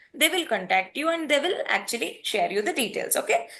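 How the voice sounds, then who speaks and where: A woman speaks with an Indian accent in a bright, sharp tone, her pitch swinging very widely. Her pace is moderate, and the background is quiet. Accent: Indian English (Telugu). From India, Hyderabad, Telangana. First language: Telugu. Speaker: data engineering trainer. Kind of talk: online class wrap-up.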